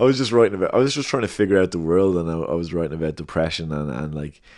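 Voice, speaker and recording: A man speaks very fast with a Dublin accent. His pitch is very deep and low, and the background is quiet. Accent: Dublin Irish. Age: 30s. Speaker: rapper. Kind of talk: casual chat. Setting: at home.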